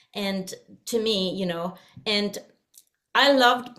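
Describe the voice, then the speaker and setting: A woman's medium-pitched voice with a Swedish accent, fairly even intonation and a moderate pace. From Sweden. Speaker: singer and vocal coach. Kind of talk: interview. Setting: video call.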